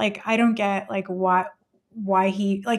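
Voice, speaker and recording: Using fairly even intonation, a woman of medium pitch talks at a moderate pace with an American accent. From California. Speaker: homeschooling mom. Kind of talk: casual chat.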